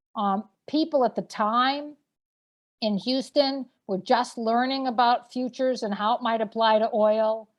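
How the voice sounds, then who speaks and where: A woman speaks with a Boston accent. Her pitch is high and her intonation fairly even. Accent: Boston-area. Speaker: energy policy expert and professor. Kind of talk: webcast panel discussion. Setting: webcast.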